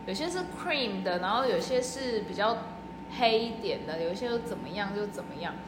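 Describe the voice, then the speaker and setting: A woman speaks at a moderate pace in a fairly high pitch with lively intonation, with audible room echo and noticeable background noise. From Taiwan. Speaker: working holiday traveler, social worker. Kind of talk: casual chat. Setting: outdoors.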